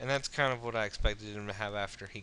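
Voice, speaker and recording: Loud and at a fairly quick pace, a man speaks with fairly even intonation. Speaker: online poker strategy video maker. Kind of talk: gameplay commentary tutorial. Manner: halting, many fillers.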